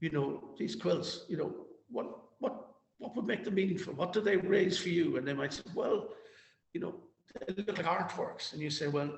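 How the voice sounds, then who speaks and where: Talking at a fairly quick pace with long, frequent pauses, a man with a Cork accent uses a high pitch and lively intonation. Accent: Cork Irish. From Ireland, Cork. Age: 60s. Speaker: activist. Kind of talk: interview. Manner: halting, repetitive.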